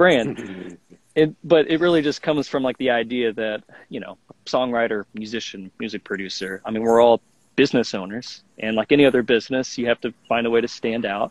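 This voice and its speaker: A man with an unremarkable speaking voice talks at a medium pitch and fairly quick pace with ordinary pitch variation, dry and close with no echo. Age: 20s. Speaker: songwriter and music producer. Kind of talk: casual interview.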